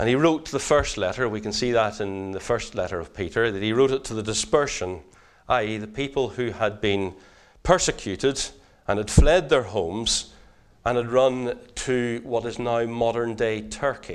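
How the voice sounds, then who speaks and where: Heard on a very clean recording with a silent background, the speaker has a Northern Irish accent, a moderate pace and ordinary pitch variation. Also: man, medium pitch for a man. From Northern Ireland. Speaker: preacher. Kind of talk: sermon.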